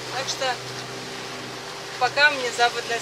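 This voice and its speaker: Loud background noise fills the recording. A woman speaks over it at a moderate pace. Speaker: sailing vlogger. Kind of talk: casual vlog chat. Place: boat. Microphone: phone near.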